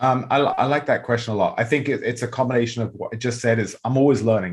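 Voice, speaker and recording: Somewhat breathy, a medium-pitched man talks at a very fast pace with fairly even intonation. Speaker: real estate agent and investor. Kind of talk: podcast interview.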